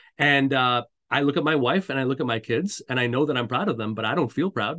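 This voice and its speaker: Here a man speaks with a Canadian accent at a medium pitch. His pace is fairly quick, and his pitch variation is ordinary. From Montreal, Canada. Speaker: career coach. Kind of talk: interview. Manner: hesitant with many fillers.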